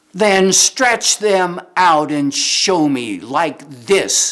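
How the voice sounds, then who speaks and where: Speaking at a very slow pace, this man adopts a put-on character voice. His pitch sits high. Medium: read story.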